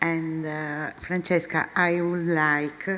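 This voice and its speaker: A woman's very deep, low voice at a very slow pace. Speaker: event moderator. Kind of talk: conference moderation.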